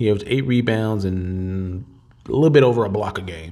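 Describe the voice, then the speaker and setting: Here a man talks at a fairly quick pace. His tone is animated and his intonation lively. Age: 30s. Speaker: podcast host. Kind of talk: casual chat.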